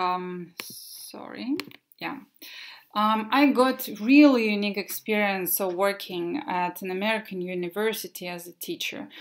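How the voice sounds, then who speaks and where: On a very clean recording with a silent background, a woman with a Russian accent speaks at a fairly slow pace and medium pitch, with lively intonation and big swings in loudness. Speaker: English teacher. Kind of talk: presentation. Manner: halting.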